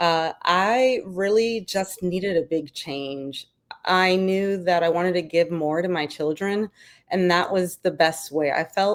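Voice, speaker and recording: On a very clean recording with a silent background, a woman with a New York accent speaks at a fairly slow pace, fairly low in pitch with ordinary pitch variation. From New York City, Brooklyn. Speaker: army veteran and business founder. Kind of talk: interview.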